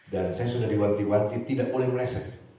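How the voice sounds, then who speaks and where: With audible room echo and noticeable background noise, a man speaks in an animated tone at a fairly quick pace and a medium pitch. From Manado, North Sulawesi, Indonesia. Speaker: preacher. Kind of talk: sermon. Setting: church synod gathering with audience. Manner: animated, interacts with audience.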